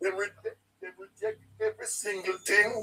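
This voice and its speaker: A man with a Jamaican accent. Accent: Jamaican, Patois features. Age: 70s. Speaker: caller. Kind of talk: political call-in chat. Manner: animated.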